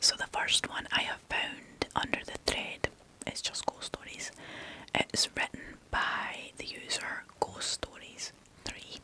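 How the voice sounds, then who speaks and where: Whispering in a Scottish accent, a woman leaves long, frequent pauses over noticeable background noise. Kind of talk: ASMR whispered story reading. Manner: whispered, soft.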